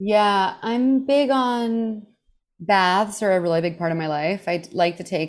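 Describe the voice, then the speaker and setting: A woman with an American accent speaks in an unremarkable speaking voice with ordinary pitch variation. Her pace is moderate, and the recording is very clean with a silent background. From Texas, Houston. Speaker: comedian. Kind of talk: casual chat.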